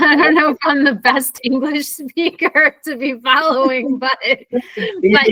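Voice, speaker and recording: A woman with a high-pitched, raised and projected voice speaks at a fairly slow pace with fairly even intonation, the sound dry and close with no echo. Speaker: English tutor. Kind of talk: online English class.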